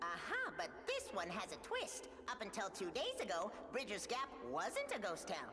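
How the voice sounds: A cartoonish, female-sounding character voice with clear echo and clear background noise. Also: moderate pace.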